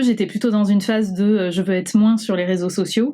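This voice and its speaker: The woman has a medium pitch, a dark, mellow tone and fairly even intonation. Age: 30s. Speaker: lawyer sharing eating disorder testimony. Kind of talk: testimony. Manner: hesitant with many fillers.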